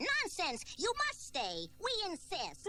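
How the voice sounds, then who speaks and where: A squeaky, put-on character voice at an extremely high pitch moves at a fairly slow pace over clear background noise. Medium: audio drama.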